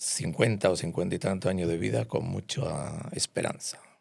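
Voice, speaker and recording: Vocal fry marks this man's very deep, low pitch. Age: 60s. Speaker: psychiatrist. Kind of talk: interview. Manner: hesitant, many fillers.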